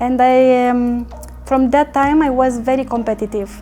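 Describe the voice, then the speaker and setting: A woman talks with a Romanian accent and fairly even intonation. Noticeable background noise can be heard. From Romania, small town near the Danube. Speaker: network marketing leader. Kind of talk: interview. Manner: halting, many fillers.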